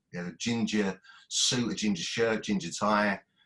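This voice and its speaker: Here a man speaks with an Essex accent. His pitch is fairly low and his pace moderate. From Basildon, Essex, England. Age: 50s. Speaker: poet. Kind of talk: reading aloud. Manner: halting.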